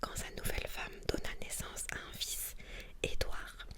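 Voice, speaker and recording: Whispering from a woman, calm in tone and fairly slow, with noticeable background noise. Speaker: ASMR content creator. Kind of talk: whispered book reading for ASMR. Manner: whispered, soft-spoken, calm.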